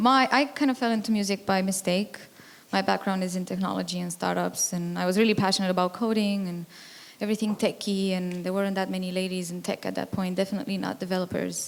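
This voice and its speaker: Speaking very fast with a Romanian accent, a woman keeps a medium pitch and fairly even intonation. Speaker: music tech entrepreneur. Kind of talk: panel discussion.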